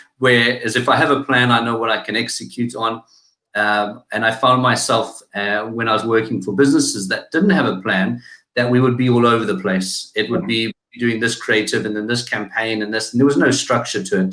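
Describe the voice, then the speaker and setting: With a South African accent, a man talks at a fairly quick pace and medium pitch. His tone is bright and sharp, with ordinary pitch variation. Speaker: digital marketing agency founder. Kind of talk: interview. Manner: hesitant, many fillers.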